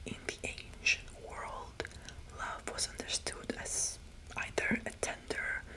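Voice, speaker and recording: Against noticeable background noise, the whispering moves at a very slow pace. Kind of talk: whispered ASMR mythology talk. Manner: whispered; soothing, friendly.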